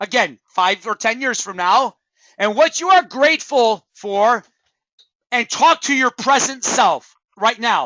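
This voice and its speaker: A man's loud, passionate and animated voice at an extremely high pitch, with lively intonation and a fairly slow pace. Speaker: network marketing trainer. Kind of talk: motivational training talk. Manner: passionate, animated.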